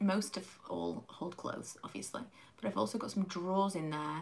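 Somewhat breathy, a woman with a British accent speaks at a moderate pace. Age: 30s. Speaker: beauty YouTuber. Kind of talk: casual livestream chat while doing makeup. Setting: at home, live stream. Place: home room. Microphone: phone near.

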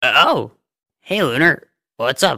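A man performs a put-on character voice. The sound is dry and close, with no echo. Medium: audio drama.

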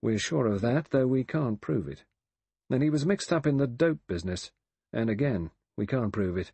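The text is read aloud plainly with lively intonation. The background is quiet.

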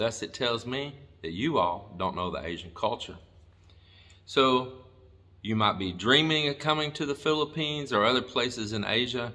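A man is speaking. His tone is bright and sharp. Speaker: vlogger. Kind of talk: casual vlog chat. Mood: firm, a little harsh. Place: home room. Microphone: phone near.

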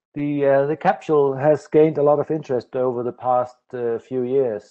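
A man talks with fairly even intonation and a moderate pace, the background quiet. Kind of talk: lecture. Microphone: video call.

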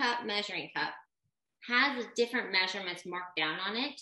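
Audible room echo carries a woman's bright, sharp tone as she speaks at a moderate pace over a quiet background. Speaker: baking class host. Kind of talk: tutorial. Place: kitchen. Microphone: webcam.

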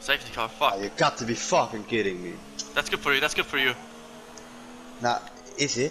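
Over noticeable background noise, the speaker talks at a fairly quick pace with lively intonation and long, frequent pauses. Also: man, medium pitch for a man. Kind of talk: angry rant while gaming, live reaction to a racing game. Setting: online racing game session, commentating while playing. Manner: animated, loud, swearing and exasperated; excitable, rapid outbursts of disbelief.

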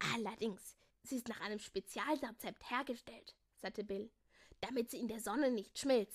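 Simply an unforced reading voice.

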